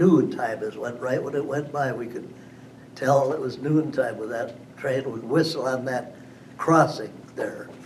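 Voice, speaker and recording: Amid noticeable background noise and audible room echo, a man with an American accent speaks at a fairly slow pace in a fairly high voice, his intonation fairly even but his loudness swinging widely. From western Wisconsin, US Upper Midwest. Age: 90s. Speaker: local elder telling life history. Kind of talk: oral history interview. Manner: halting, with repetitions.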